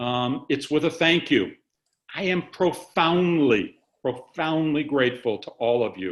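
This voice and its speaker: A man with a normal speaking voice talks at a fairly slow pace and fairly high pitch, his intonation lively. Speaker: organization executive. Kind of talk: staff town hall presentation. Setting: webcast video call.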